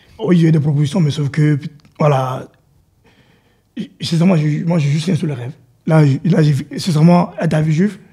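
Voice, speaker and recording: Dark and mellow in tone, a fairly high-pitched man talks at a fairly quick pace with fairly even intonation and long, frequent pauses. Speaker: football coach, technical director. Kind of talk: interview. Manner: halting, repetitive.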